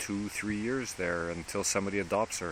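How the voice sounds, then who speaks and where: A man with a Quebec accent and a fairly low pitch. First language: French. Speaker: dog rescuer vlogger. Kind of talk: casual vlog monologue. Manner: halting, with repetitions.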